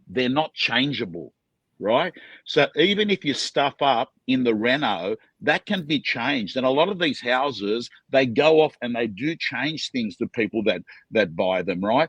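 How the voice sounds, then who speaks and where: Speaking with an Australian accent at a medium pitch, a man goes at a fairly slow pace with very wide pitch swings. The sound is dry and close with no echo, over a quiet background. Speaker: auctioneer. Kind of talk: interview answer.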